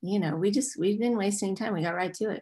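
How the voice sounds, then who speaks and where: A woman speaks with an American accent and ordinary pitch variation. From US South, Nashville, Tennessee; Tennessee. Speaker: musician and actress; interview guest. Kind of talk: casual chat. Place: home room. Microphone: video call.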